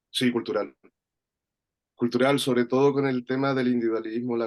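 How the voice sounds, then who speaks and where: A man's medium-pitched voice in a Chilean accent. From Chile, rural interior of Valparaíso region. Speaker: workshop participant. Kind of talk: personal reflection in online workshop. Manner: halting, many fillers and repetitions.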